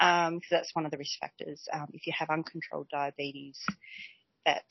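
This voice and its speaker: Nervous in tone, a woman speaks with an Australian accent at a very deep, low pitch. Her intonation is monotone and flat, her pace moderate. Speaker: community health nurse. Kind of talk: casual interview explaining health topic. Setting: shared office, recorded together. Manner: self-conscious, a little nervous.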